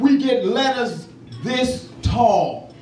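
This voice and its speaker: The speech comes very slowly in a monotone, flat delivery, with noticeable background noise and audible room echo. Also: man. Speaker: criminal justice activist, former prisoner. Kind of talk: award acceptance speech. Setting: award ceremony with audience. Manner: loud; impassioned.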